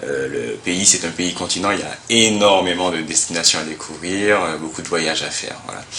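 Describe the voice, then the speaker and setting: Amid noticeable background noise and audible room echo, a man speaks fairly quickly in a very deep, low pitch. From Martinique. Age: 30s. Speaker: telecom manager and music entrepreneur. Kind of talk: testimony. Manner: hesitant, many fillers.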